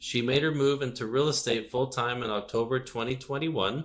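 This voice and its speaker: He has a normal speaking voice at a medium pitch. The man keeps a moderate pace with fairly even intonation. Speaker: podcast host. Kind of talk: show intro.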